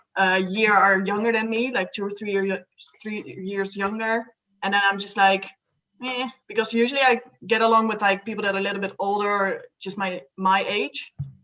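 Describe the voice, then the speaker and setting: A woman with a Dutch accent speaks at a moderate pace in a medium pitch, her intonation flat and monotone. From Netherlands. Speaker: student and solo traveller. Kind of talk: casual interview chat.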